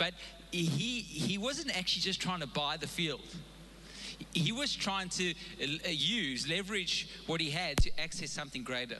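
Over noticeable background noise and audible room echo, a man with a high voice talks at a moderate pace with lively intonation and long, frequent pauses. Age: 40s. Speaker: pastor. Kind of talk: sermon. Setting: church. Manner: halting, with many repeated words.

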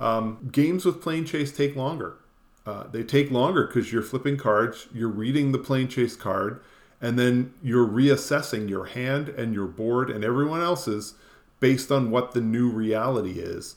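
Moderate pace, a normal speaking voice, and medium pitch from a man whose pitch variation is ordinary. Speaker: podcast host. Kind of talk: casual chat.

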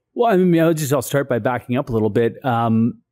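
A man with a West Coast Canadian accent, medium pitch and a dark, mellow tone, in a very clean recording over a silent background. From Saanich Peninsula, Vancouver Island, British Columbia. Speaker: provincial legislator. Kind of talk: interview. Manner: halting, many fillers.

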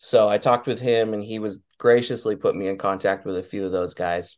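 A man with a normal speaking voice speaks in an American accent at a fairly low pitch and moderate pace, his intonation fairly even against a quiet background. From Wyoming, US. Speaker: guitar tech. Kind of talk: casual interview chat.

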